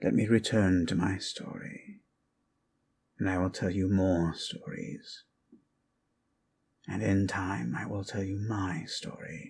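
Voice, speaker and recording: Putting on a character voice, a man speaks at a fairly slow pace and a fairly low pitch, leaving long, frequent pauses. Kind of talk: ASMR sleep storytelling. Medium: solo performance. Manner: slow, measured, musing.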